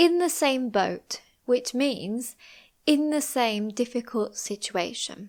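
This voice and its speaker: A woman with a British accent speaks very slowly in a high voice with lively intonation, on a very clean recording with a silent background. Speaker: English teacher. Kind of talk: English lesson narration. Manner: slow, clear.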